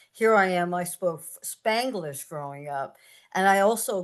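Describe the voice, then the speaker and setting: Someone speaks at a moderate pace in an American accent. The background is quiet. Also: woman. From San Francisco, US (Mission District). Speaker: poet. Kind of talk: Q&A answer at a reading.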